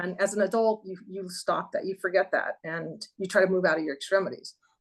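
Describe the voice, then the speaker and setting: A woman with an ordinary speaking voice talks at medium pitch and a fairly quick pace, her intonation fairly even but her loudness swinging widely. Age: 60s. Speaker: horseback rider and pharmacist. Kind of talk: interview answer. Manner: casual, conversational.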